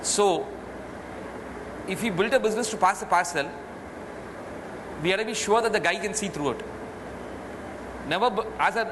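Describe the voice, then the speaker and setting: A high-pitched man with an Indian accent, fairly quick, with ordinary pitch variation and noticeable background noise. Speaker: retail entrepreneur. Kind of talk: interview answer.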